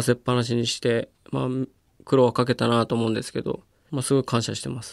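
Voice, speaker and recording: Talking at a very fast pace, a man is heard in a very clean recording with a silent background and a dry, close sound with no echo. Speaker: wheelchair rugby player. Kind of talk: interview. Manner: casual, with frequent fillers.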